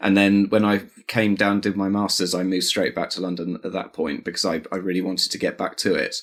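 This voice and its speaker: On a very clean recording with a silent background, a man's speech moves at a fairly quick pace. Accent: Home Counties. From England, Buckinghamshire (home counties). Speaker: artist. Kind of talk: casual interview chat. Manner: halting, many fillers.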